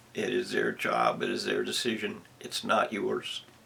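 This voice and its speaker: A man at a fairly slow pace over noticeable background noise. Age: 70s. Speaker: commentator giving a personal monologue. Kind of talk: rant. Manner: halting; emphatic.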